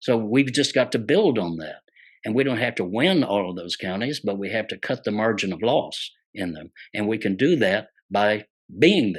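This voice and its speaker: With a Texan accent, a man talks at a moderate pace in a fairly low pitch, his intonation lively over a quiet background. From Texas. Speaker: populist speaker, former state agriculture commissioner. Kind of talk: political talk. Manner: humorous, folksy.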